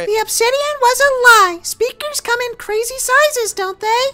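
A woman speaks at a moderate pace with an extremely high pitch. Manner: cheerful, helpful.

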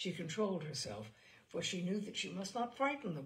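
Someone reads in an unforced reading voice. The pitch moves in a lively way.

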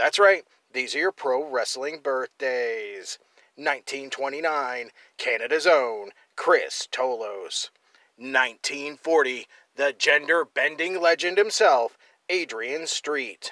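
Very slow, bright, sharp speech from a man, with ordinary pitch variation in a very clean recording with a silent background. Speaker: wrestling history video host. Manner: animated; playful and tongue-in-cheek.

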